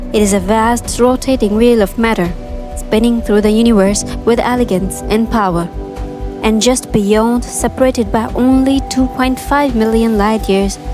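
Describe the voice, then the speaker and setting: Music plays in the background as a woman speaks with ordinary pitch variation and very even loudness. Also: fairly high pitch for a woman, moderate pace. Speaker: voiceover narrator. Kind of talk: documentary narration. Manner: clear, awed.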